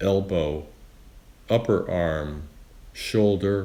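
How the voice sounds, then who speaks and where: At a very slow pace, a man with a very deep, low pitch speaks in a calm tone. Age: 80s+. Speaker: yoga teacher. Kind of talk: guided meditation. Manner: slow, calm.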